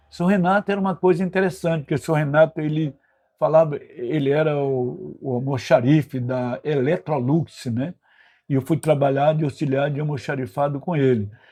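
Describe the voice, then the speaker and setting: Against a quiet background, a man's fairly high voice comes across somewhat breathy, with a dark, mellow tone. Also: ordinary pitch variation, moderate pace. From Brazil, Bahia (northeast), later Rio de Janeiro. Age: 80s+. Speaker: retired political activist, institute president. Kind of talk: interview, personal life story. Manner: frequent fillers and tag questions.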